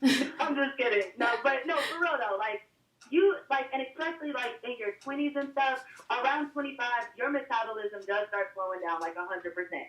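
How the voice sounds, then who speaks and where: Noticeable background noise runs under a woman's voice. She sounds animated, with a high pitch. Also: lively intonation, moderate pace. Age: 20s. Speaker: reality TV personality. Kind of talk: casual interview chat.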